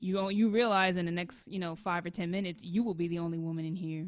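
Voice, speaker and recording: A woman's normal speaking voice with an American accent, fairly low in pitch, fairly quick in pace, with fairly even intonation. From New York City, Washington Heights. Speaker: saxophonist. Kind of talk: casual chat.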